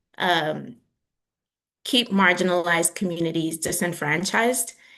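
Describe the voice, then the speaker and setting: With a New York accent, a woman speaks at medium pitch in a bright, sharp tone and fairly even intonation. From New York, the Bronx (Dominican heritage). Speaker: communications specialist, workshop presenter. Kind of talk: virtual workshop presentation.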